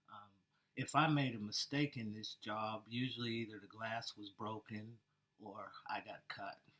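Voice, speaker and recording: A man speaks at a fairly slow pace with a bright, sharp tone and medium pitch. His intonation is fairly even, though his loudness swings widely. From Pennsylvania, West Mifflin (Pittsburgh area). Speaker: air force veteran, job candidate. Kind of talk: job interview. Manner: soft-spoken.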